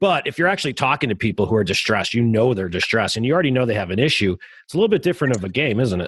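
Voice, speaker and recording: A man with an American accent talks at a very fast pace in a medium pitch, his voice swinging very widely up and down against a quiet background. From Chicago, US Midwest. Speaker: podcast host. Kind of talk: casual interview.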